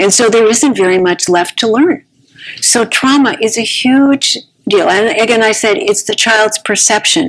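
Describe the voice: This woman has a fairly high pitch, ordinary pitch variation and a slightly husky edge, and she talks at a fairly slow pace.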